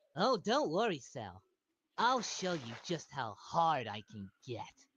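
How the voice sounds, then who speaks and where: A man puts on a character voice with a fairly high pitch. He talks fairly slowly, and his pitch swings very widely. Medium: voice reel. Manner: goofy, earnest.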